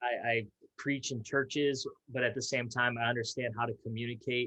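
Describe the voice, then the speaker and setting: A man's medium-pitched voice with an American accent, bright and sharp in tone, monotone and flat, at a fairly quick pace. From Minnesota, US (Fridley). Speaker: youth pastor and speaker. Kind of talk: interview conversation.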